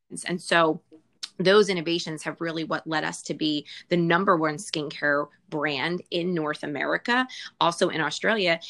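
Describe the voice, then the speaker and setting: Over a quiet background, a woman with an ordinary speaking voice and fairly low pitch speaks at a moderate pace with ordinary pitch variation. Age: 40s. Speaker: skincare sales business leader, former clinical researcher. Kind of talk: casual interview with sales pitch elements.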